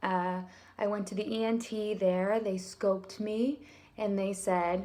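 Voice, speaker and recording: A woman of medium pitch, with fairly even intonation. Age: 30s. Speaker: singer and teacher recovering from voice disorder. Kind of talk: personal testimony vlog. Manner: soft-spoken; hesitant, filler-heavy.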